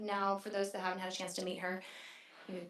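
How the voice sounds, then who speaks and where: A woman's voice with audible room echo. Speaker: city clerk. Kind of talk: council meeting presentation. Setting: council chamber meeting. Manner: hesitant with fillers.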